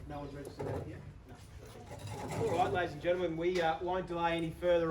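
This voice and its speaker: A man speaks at a very fast pace in a fairly high pitch. Noticeable background noise runs behind him. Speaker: auctioneer. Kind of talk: opening address to the crowd at an auction. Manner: fast, persuasive, rhythmic.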